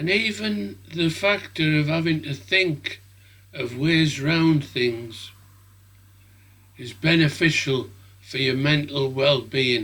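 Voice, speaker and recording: With a British accent, a man speaks at a very slow pace, leaving long, frequent pauses. His fairly high pitch carries a bright, sharp tone and lively intonation. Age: 70s. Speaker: drone hobbyist video maker. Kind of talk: casual vlog talk to camera.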